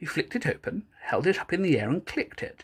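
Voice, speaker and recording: Recorded very cleanly against a silent background, a woman speaks at a moderate pace. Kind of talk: audiobook reading.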